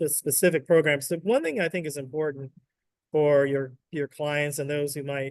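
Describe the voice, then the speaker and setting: A man with an American accent has an ordinary speaking voice, a fairly high pitch and fairly even intonation, and speaks at a moderate pace. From US South. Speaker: state economic development executive. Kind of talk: webinar interview.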